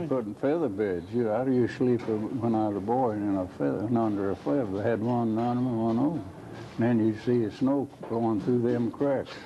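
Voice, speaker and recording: A man with an Appalachian accent speaks at a moderate pace with hardly any pauses. His voice sits at a medium pitch with ordinary variation. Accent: Appalachian Southern. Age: 80s+. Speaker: electric cooperative board president. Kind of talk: interview answer.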